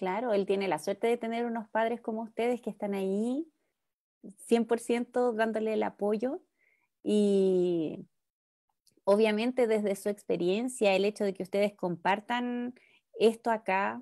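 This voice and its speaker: A woman with a Chilean accent speaks slowly in a dark, mellow tone, her intonation fairly even. The sound is dry and close with no echo, on a very clean recording with a silent background. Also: fairly high pitch for a woman. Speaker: speech therapist. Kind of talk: interview.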